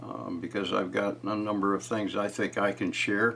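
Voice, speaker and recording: The man talks at a moderate pace, with noticeable background noise behind him. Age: 70s. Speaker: retired YouTuber sharing family history. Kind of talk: casual vlog monologue. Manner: halting, many fillers.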